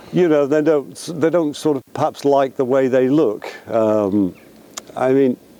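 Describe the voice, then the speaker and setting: A man speaks at a fairly slow pace with long, frequent pauses, ordinary pitch variation and very even loudness, over noticeable background noise. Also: medium pitch for a man. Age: 60s. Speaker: vlogger. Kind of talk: casual chat. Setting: outdoors at the beach. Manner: hesitant, filler-heavy.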